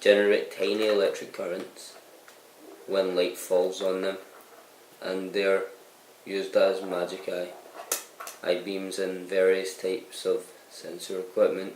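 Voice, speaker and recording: With noticeable background noise behind him, a man speaks at a fairly slow pace, pausing long and often. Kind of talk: reading explanatory text aloud. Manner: stuttering, hesitant.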